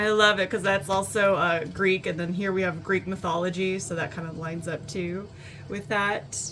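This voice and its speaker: Against noticeable background noise, a woman talks at a moderate pace with a medium pitch. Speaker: tarot reader. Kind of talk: pick-a-card tarot reading. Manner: casual, filler-heavy. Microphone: poor audio, looking for a new microphone.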